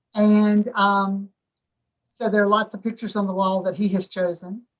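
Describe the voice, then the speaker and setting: Somewhat breathy, a woman talks at a medium pitch. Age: 60s. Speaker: filmmaker's mother, film participant. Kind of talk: panel Q&A discussion.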